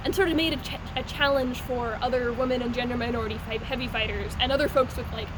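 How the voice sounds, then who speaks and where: The speech comes at a very fast pace with hardly any pauses and fairly even intonation over noticeable background noise. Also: woman, high pitch for a woman. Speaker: SCA heavy armored fighter. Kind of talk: casual talk to camera. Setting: indoor basketball court. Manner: fast-talking at times.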